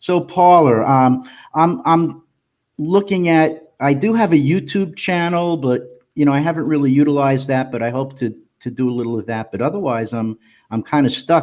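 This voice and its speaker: A man with a plain, everyday voice, lively intonation and a moderate pace against a quiet background. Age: 60s. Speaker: poet. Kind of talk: casual chat. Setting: live stream.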